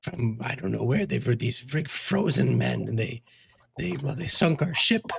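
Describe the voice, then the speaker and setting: A raspy, put-on character voice. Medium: actual play. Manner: rambling, hesitant, repetitive.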